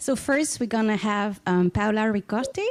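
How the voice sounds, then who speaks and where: Speaking at a moderate pace with a Spanish accent, a woman uses a medium pitch and ordinary pitch variation in a dry, close sound with no echo. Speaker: law professor and panel moderator. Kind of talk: panel moderation.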